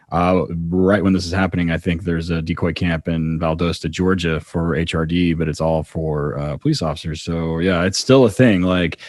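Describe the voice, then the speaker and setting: A man speaks with a very deep, low pitch at a moderate pace, his intonation fairly even. He hardly pauses, and background noise is noticeable. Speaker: podcast host. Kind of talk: casual podcast talk.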